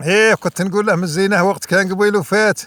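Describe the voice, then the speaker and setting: At a moderate pace, the voice comes through dry and close with no echo. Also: man. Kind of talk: poetry reading.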